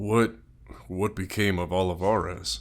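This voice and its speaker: A man performs a put-on character voice with a very deep, low pitch. He talks at a moderate pace. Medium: actual play. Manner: solemn, measured.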